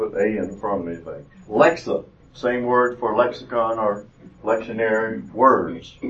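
A man talks at a moderate pace in a Southern US accent. His pitch varies in an ordinary way. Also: medium pitch for a man. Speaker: retired doctor giving mission trip talk. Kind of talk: church talk. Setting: church classroom with audience.

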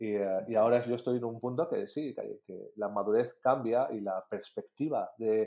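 A man's dark, mellow tone at medium pitch and a fairly slow pace. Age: 30s. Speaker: marketing and design course creator. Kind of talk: casual interview.

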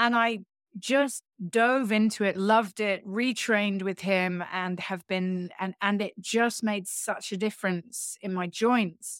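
In an English accent, a woman speaks fairly slowly at medium pitch with fairly even intonation, in a dry, close sound with no echo. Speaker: yoga teacher. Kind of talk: casual interview chat. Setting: remote call.

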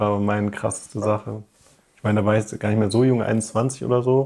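A man speaks with fairly low pitch and fairly even intonation. His is an unremarkable speaking voice. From Ruhr area, Germany (Duisburg). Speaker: podcast co-host. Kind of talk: casual chat.

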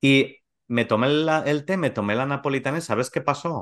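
A man speaks at a fairly slow pace with a bright, sharp tone. The background is quiet. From Spain, Valencia region (Gandía). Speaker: macrobiotics teacher and podcast co-host. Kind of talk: casual interview.

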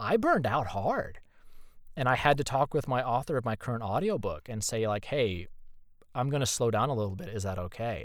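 Fairly quick and lively in intonation, a man with an American accent speaks in a plain, everyday voice at a medium pitch. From Indiana, US Midwest. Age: 30s. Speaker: voice actor. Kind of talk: casual chat. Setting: video call.

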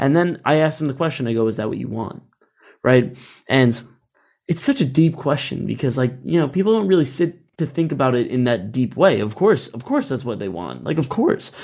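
A man speaks at a medium pitch with vocal fry. His intonation is lively and his pace fairly quick. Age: 20s. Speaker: podcast host. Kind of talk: casual interview chat.

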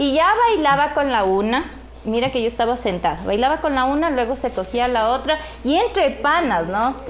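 Noticeable background noise accompanies speech at a moderate pace that has lively intonation and very even loudness. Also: woman, high pitch for a woman. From Ecuador, Ambato. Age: 30s. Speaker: makeup studio owner. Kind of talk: casual chat.

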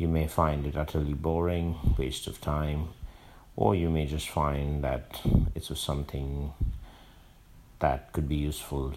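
Over noticeable background noise, a man with a very deep, low pitch speaks at a fairly slow pace in a monotone, flat intonation. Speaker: podcaster. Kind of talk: casual monologue. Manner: hesitant, many fillers.

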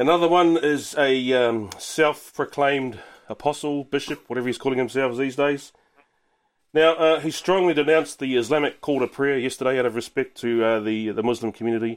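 Speaking at a fairly quick pace with ordinary pitch variation, this voice in a New Zealand accent comes through a very clean recording with a silent background. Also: man, medium pitch for a man. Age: 30s. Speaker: sports radio co-host. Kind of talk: casual chat.

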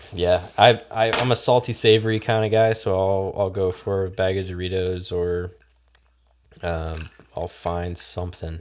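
At a fairly slow pace, a man talks with a very deep, low pitch and fairly even intonation. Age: 20s. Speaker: podcast guest. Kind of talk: casual chat.

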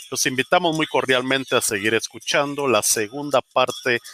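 Here a man speaks with a Guatemalan accent. His tone is bright and sharp, and his pace is moderate. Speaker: podcast host. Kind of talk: scripted podcast outro.

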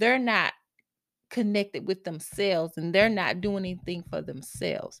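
Recorded very cleanly against a silent background, this voice carries a Southern US accent and ordinary pitch variation. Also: woman. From US South, Mississippi. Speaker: self-help podcast host. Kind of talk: solo motivational monologue. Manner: halting, self-correcting.

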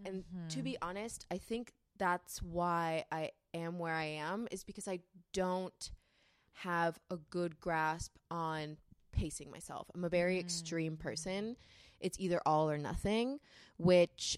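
Slow-paced and fairly low-pitched, a woman speaks with an American accent and ordinary pitch variation. Hers is an unremarkable speaking voice. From California. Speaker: model and creative.

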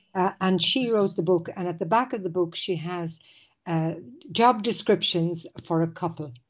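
A woman with an Irish accent, fairly low pitch, ordinary pitch variation and a moderate pace, on a very clean recording with a silent background. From Ireland. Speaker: lawyer and university guidance counselor. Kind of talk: casual interview. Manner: halting, frequent repetitions.

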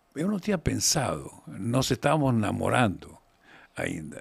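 A man's pitch swings very widely. His voice has vocal fry. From Argentina, raised in Mendoza. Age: 70s. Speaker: winemaker. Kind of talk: interview. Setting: studio. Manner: halting.

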